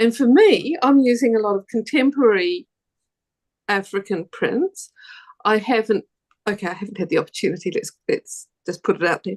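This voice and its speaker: At a moderate pace, a woman with a New Zealand accent speaks with lively intonation and a fairly high pitch. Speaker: quilter. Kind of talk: panel discussion. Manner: halting, many repetitions.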